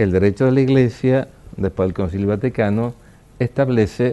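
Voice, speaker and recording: Lively intonation runs through a man's dark, mellow tone. He speaks at a fairly slow pace. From Argentina, Rosario (Santa Fe). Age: 70s. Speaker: archbishop. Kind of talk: interview.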